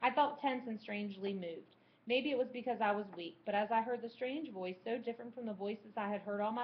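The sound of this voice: What you hear is an unforced reading voice.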